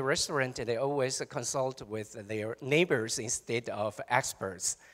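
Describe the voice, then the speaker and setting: With a Taiwanese accent, a man speaks at a fairly slow pace with ordinary pitch variation. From Taiwan, Chiayi (southern Taiwan). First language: Taiwanese Hokkien / Mandarin. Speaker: professor. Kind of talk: panel presentation.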